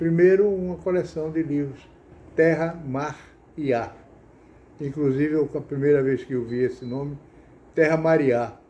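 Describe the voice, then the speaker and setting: A man with a fairly high pitch and a dark, mellow tone speaks at a moderate pace with fairly even intonation and long, frequent pauses. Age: 80s+. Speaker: writer, academy member. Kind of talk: personal talk about reading. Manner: halting, with repetitions.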